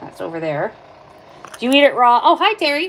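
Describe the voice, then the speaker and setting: A woman speaks loudly at a high pitch. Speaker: livestreamer. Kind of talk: live stream tutorial. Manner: casual.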